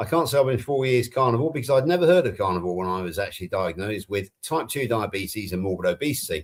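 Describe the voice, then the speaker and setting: A man talks in a West Country accent. He goes at a very fast pace with very wide pitch swings. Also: medium pitch for a man. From England. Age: 60s. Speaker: health coach, panel co-host. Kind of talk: casual chat.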